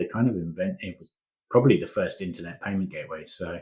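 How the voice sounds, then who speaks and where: A man is speaking. His voice sits very deep and low. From England, London. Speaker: company founder and CEO. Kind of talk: interview.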